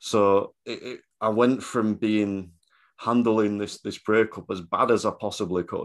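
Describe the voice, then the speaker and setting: A man talks at a fairly slow pace with fairly even intonation in an ordinary speaking voice. The background is quiet. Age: 30s. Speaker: driving instructor. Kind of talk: casual chat.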